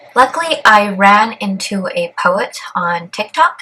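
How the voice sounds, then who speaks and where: A woman speaks at a medium pitch. Her voice swings very widely in pitch. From Canada. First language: Cantonese. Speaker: vlogger. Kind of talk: vlog.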